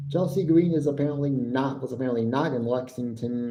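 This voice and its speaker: A man talks at a moderate pace with an American accent. Echo from the room can be heard. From United States. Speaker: wrestling podcaster and live streamer. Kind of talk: live stream commentary and review. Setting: live stream.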